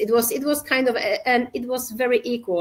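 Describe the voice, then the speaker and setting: A woman speaks at a moderate pace with a Polish accent. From Poland. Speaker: safety culture consultant and entrepreneur. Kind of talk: podcast interview. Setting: live video podcast. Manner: halting.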